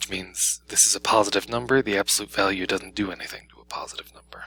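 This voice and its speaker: Whispering from a man at a very fast pace, over noticeable background noise. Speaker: math teacher. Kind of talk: tutorial. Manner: casual.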